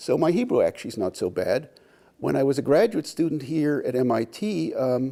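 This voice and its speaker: A man with a Pittsburgh accent at a fairly quick pace. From Pittsburgh, US. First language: German. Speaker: biology professor. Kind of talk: interview conversation. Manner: halting, repeated false starts.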